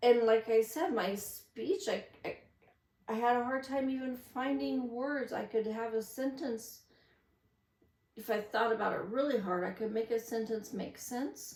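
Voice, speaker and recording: A woman speaks at a fairly slow pace, her fairly high pitch moving with ordinary variation. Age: 50s. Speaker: vlogger. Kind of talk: casual monologue. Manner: rambling.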